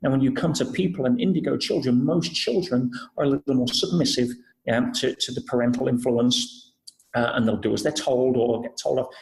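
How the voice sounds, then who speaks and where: A man with an English accent talks at a fairly quick pace. His medium-pitched voice is somewhat breathy, with ordinary pitch variation. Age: 40s. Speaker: personal development speaker. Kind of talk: podcast interview.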